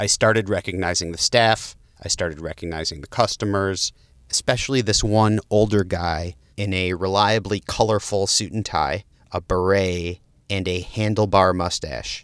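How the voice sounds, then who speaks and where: A man's plain, everyday voice, fairly low and fairly even in intonation, at a moderate pace, dry and close with no echo on a very clean recording with a silent background. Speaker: podcast host. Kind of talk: scripted intro then interview.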